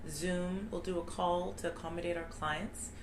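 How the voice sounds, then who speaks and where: Room echo is audible, along with noticeable background noise. A woman speaks at a fairly low pitch. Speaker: immigration lawyer. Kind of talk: informational talk. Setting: live video stream.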